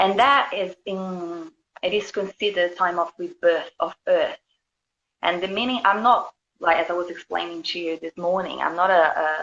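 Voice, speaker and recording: This speaker has a Brazilian accent and talks at a moderate pace with fairly even intonation. The sound is dry and close, with no echo. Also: woman, medium pitch for a woman. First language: Portuguese. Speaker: spiritual healer and yoga teacher. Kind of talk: casual interview.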